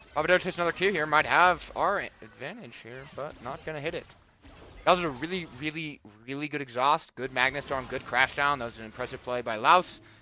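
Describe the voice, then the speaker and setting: A man talks at a fairly quick pace in a fairly high voice with ordinary pitch variation. Music plays in the background. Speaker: esports caster. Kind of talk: live commentary. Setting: live stream. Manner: casual, hesitant with fillers.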